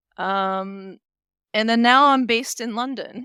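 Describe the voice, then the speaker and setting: With a Californian accent, a woman talks at a fairly slow pace in a bright, sharp tone, recorded very cleanly against a silent background. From US West Coast, San Diego California. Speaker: SEO manager, interview guest. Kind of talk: interview.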